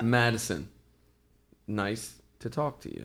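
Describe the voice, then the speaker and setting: A man uses a put-on, robotic character voice at medium pitch. He speaks at a fairly slow pace. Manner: robotic, flat.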